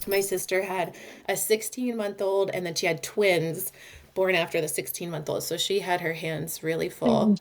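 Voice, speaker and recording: In a Minnesota accent, a woman speaks at a moderate pace. Her medium-pitched voice keeps a fairly even intonation. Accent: picked-up Minnesota. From US East Coast (Georgia, Massachusetts). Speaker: play therapist. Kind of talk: interview podcast.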